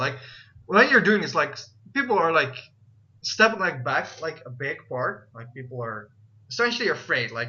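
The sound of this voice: Bright and sharp in tone, a man with a fairly high pitch speaks at a moderate pace with big pitch swings and audible room echo.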